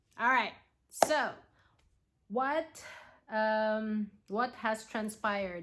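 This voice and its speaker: A woman with a non-native accent and a fairly high voice. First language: not English. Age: 40s. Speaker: nurse and cancer patient. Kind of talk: vlog tutorial. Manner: halting, many fillers.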